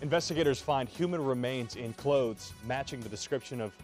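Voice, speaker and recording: Over music in the background, a man with a medium-pitched voice talks at a fairly quick pace with ordinary pitch variation. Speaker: TV news anchor. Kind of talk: TV news read.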